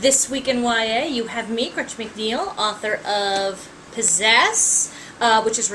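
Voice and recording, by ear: A natural voice reading aloud.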